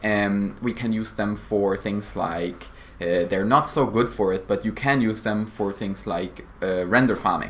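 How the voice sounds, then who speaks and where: Over noticeable background noise, a man speaks at a fairly slow pace in a fairly low voice with ordinary pitch variation. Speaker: cybersecurity apprentice. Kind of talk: interview.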